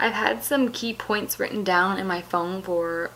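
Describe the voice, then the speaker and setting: A woman speaks at a moderate pace. Noticeable background noise is heard. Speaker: YouTuber. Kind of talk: casual vlog talk about personal experience. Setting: home basement at night. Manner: hesitant with fillers.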